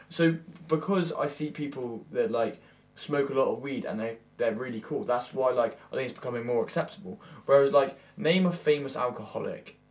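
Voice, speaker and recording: With an unremarkable speaking voice, a man talks at a moderate pace, his fairly high pitch rising and falling in lively intonation. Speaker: podcast co-host and musician. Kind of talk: casual chat.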